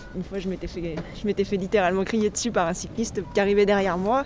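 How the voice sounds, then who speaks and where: Amid noticeable background noise, a woman speaks at a fairly quick pace with ordinary pitch variation. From western France, Angers. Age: 30s. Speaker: blind resident interviewed on accessibility. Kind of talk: interview. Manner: hesitant, many fillers and restarts.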